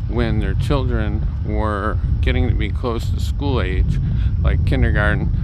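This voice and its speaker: Loud noise fills the background. Over it, a man speaks at a fairly slow pace. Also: dry sound with no echo. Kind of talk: casual vlog chat. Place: street. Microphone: phone near.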